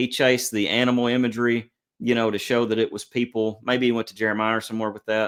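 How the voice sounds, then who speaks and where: In a very clean recording with a silent background, a man races along at a very fast pace in a monotone, flat intonation. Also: medium pitch for a man. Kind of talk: casual chat.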